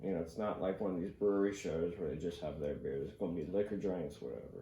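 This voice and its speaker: A man with a very deep, low pitch and an American accent, somewhat breathy, at a very fast pace, with audible room echo. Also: ordinary pitch variation. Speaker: podcast host and comedian. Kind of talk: casual chat. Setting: home podcast studio.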